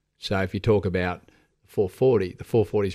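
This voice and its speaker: This man speaks in an Australian accent with a fairly low pitch. His pace is fairly quick and his intonation monotone and flat. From Sydney, Australia (eastern suburbs). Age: 40s. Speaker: fitness community founder. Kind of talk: casual interview. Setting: radio studio.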